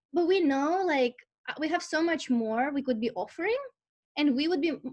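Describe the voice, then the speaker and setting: With a Russian accent, a woman talks at a moderate pace with ordinary pitch variation. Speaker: life purpose and career coach. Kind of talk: online masterclass talk. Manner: animated, conversational with fillers.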